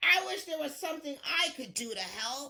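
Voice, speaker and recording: Using a put-on character voice, a woman speaks at a moderate pace and a high pitch. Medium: read story. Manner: warm, concerned.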